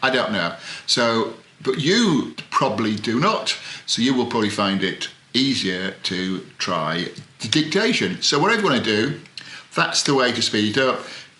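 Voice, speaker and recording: A man at a medium pitch and moderate pace with very wide pitch swings, with audible room echo and noticeable background noise. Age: old. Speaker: author and writing coach. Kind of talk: tutorial. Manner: halting; rambling.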